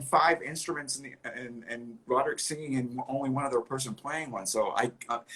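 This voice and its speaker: Delivery is fairly quick, and the pitch variation stays ordinary. The voice sounds somewhat breathy. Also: man. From New England, rural area outside Boston. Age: 50s. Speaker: rock musician. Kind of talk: casual interview chat. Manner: animated, self-interrupting.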